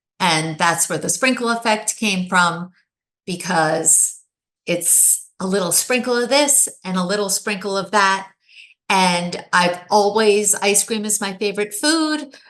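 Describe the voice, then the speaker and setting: Here a woman has an unremarkable speaking voice, medium in pitch with ordinary pitch variation. Her pace is fairly slow. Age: 60s. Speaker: widow, author. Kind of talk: interview.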